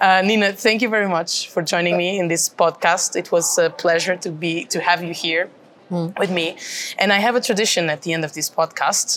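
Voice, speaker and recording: A woman speaks at a fairly quick pace with a Portuguese accent. Her pitch is fairly low and her intonation fairly even. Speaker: podcast host, member of European Parliament. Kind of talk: interview. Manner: halting.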